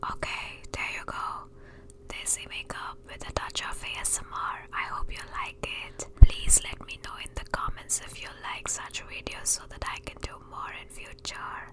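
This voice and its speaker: A woman whispers at a moderate pace, her loudness swinging widely over noticeable background noise. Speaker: beauty vlogger. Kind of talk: ASMR makeup tutorial. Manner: whispering; soft-spoken.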